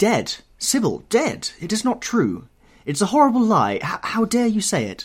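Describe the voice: A man's put-on character voice, high-pitched with a slightly husky edge, very wide pitch swings and a moderate pace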